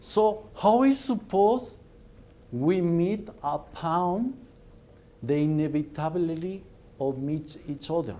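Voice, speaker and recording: With a Mexican accent, a man with a high pitch and a dark, mellow tone speaks very slowly with lively intonation and long, frequent pauses, his voice carrying audible room echo. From Mexico. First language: Spanish. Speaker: business speaker. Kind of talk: lecture. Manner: animated.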